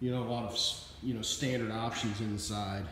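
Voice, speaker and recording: There is strong room echo and light background noise. A man talks with ordinary pitch variation. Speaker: car salesperson. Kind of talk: sales walkaround commentary. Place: shop. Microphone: phone near.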